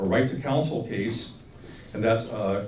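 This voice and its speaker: Speech from a man with ordinary pitch variation, set against noticeable background noise and an audible echo from the room. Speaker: attorney. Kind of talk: lecture. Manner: fast.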